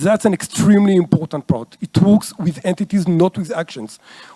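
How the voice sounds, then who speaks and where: With an Israeli accent, a man speaks at a high pitch and a moderate pace, his tone dark and mellow, the sound dry and close with no echo. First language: Hebrew. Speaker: conference speaker. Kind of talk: lecture. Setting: stage with audience.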